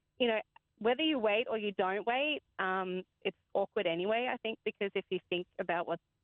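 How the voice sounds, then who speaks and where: A speaker with an Australian accent talks at a fairly quick pace, their pitch moving in an ordinary way. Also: woman. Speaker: caller. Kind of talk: casual chat.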